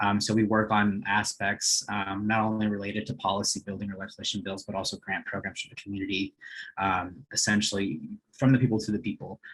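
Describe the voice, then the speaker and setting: Against a quiet background, a man rattles along at a very fast pace with monotone, flat intonation. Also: fairly low pitch for a man. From US West Coast (East Los Angeles). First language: Spanish. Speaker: nonprofit coordinator. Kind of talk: webinar presentation. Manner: hesitant, many fillers.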